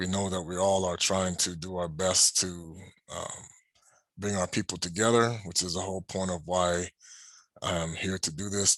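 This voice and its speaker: Against a quiet background, a man with a very deep, low pitch speaks in a monotone, flat intonation. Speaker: religious teacher. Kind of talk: sermon. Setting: home at night. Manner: soft-spoken; halting.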